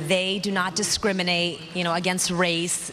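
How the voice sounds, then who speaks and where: Noticeable background noise behind a fairly quick female voice at medium pitch. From Russia. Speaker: morning tv news anchor. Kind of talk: telethon hosting.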